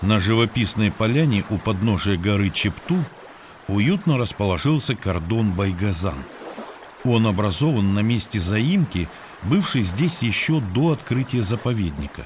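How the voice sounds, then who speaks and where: Over noticeable background noise, a man with a fairly low pitch speaks at a fairly slow pace, his intonation lively and his loudness very even. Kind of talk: documentary narration.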